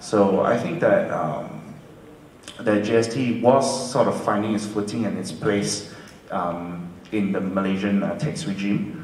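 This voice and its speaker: Over light background noise and audible room echo, a man speaks very slowly with long, frequent pauses and ordinary pitch variation. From UK. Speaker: lawyer. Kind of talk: panel discussion. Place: hall.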